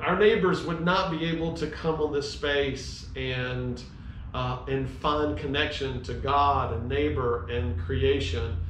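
There is light background noise. Room echo is audible. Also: man. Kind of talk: heartfelt tribute talk, sermon-like. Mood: reflective, grateful. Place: garage. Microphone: camera far.

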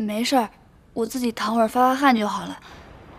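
The woman's delivery comes at a moderate speed. Her intonation is flat and monotone. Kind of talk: scripted drama dialogue. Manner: tired sick voice playing it down. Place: home room.

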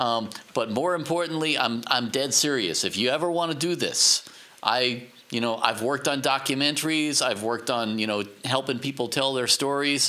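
In an American accent, a normal speaking voice moves at a moderate pace, with very even loudness and ordinary pitch variation. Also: man, medium pitch for a man. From New York. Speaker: podcast host, audio professional. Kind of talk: casual interview.

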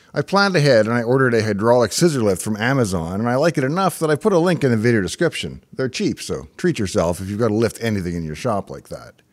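A man's voice with very wide pitch swings, a very fast pace, hardly any pauses and a quiet background. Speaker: tech hobbyist host. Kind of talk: narrated tech vlog. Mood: wry, enthusiastic. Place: studio. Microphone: studio mic.

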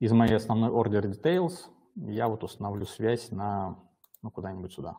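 A man's dark, mellow tone, with big swings in loudness and long, frequent pauses. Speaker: software development lead. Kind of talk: live software demo. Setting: live stream. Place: home room.

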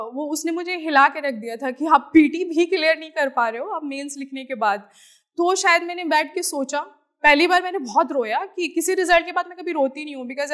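A woman talks at a moderate pace and a high pitch, with ordinary pitch variation. Her loudness swings widely over a quiet background. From Bihar, East Champaran (Motihari); Bihar. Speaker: civil servant. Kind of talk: motivational talk. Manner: Hindi-English code-switching. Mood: earnest, reflective, sometimes emotional. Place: studio. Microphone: lapel.

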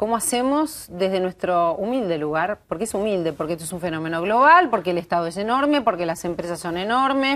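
Her pitch medium but swinging very widely, a woman talks at a fairly quick pace with hardly any pauses. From Argentina. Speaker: TV talk show host. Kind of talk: TV panel discussion. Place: studio.

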